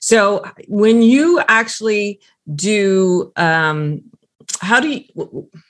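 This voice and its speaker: At a very slow pace, a woman talks with lively intonation. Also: medium pitch for a woman. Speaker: podcast host. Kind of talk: interview.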